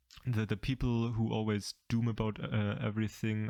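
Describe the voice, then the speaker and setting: A man's voice in a dry, close sound with no echo. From Germany. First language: German. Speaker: anime YouTuber. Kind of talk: casual commentary video. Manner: halting, many fillers and repeats.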